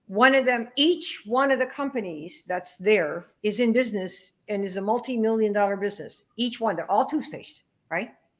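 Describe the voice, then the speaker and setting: A woman with a normal speaking voice talks at a moderate pace in a fairly high pitch, with hardly any pauses. Her intonation is lively. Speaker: network marketing trainer. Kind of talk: casual interview chat.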